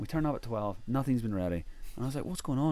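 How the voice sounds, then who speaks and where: A man speaks with an Irish accent. He goes at a very fast pace. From Ireland. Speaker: travel blogger and adventurer. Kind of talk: casual interview chat.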